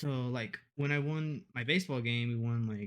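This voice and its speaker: A man with a Spanish accent speaks at a moderate pace in a very clean recording with a silent background. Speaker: university student, gamer. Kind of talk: casual chat. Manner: halting.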